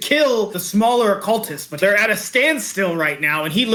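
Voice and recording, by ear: A passage read aloud in a natural voice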